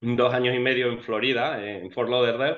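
A man with a medium pitch talks at a moderate pace against a quiet background. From Spain. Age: 40s. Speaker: financially independent investor. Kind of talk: interview. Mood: relaxed, smiling. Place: home room. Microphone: video call.

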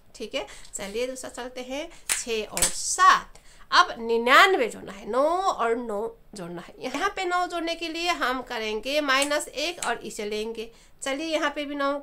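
A woman with a non-native accent projects her high-pitched voice, her intonation lively. Her loudness swings widely over noticeable background noise. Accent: non-native Hindi. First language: not Hindi (speaking Hindi). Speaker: abacus teacher. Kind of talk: tutorial.

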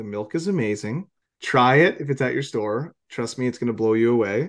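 Against a quiet background, a man with a Canadian accent and a normal speaking voice talks fairly quickly at medium pitch with ordinary pitch variation. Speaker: podcast host. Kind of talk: casual interview. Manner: casual, laughs often.

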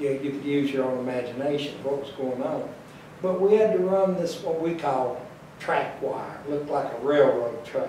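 Over light background noise and audible room echo, a man with a fairly high pitch speaks at a moderate pace with ordinary pitch variation. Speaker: elderly interviewee; interviewee. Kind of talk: interview reminiscence. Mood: calm, nostalgic. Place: home room.

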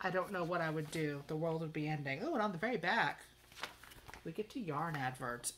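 A woman talks at a fairly quick pace. Light background noise sits behind her. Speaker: crochet vlogger. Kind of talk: casual vlog chat, magazine review. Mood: chatty, lightly humorous. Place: home room. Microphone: phone near.

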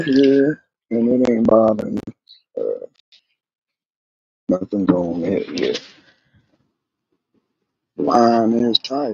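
A man's very slow delivery with a slightly mellow tone, a slightly husky edge and vocal fry.

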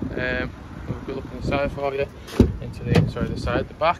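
The sound is dry with no echo, the pace is fairly quick, and there is loud background noise. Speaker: car salesman. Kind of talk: casual product walkaround. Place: street. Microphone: phone near.

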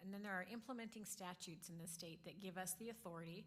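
Soft-spoken and somewhat breathy, a woman talks at a very fast pace with a fairly low pitch. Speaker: school district lawyer. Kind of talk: informal training talk to a board. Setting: in-person board meeting.

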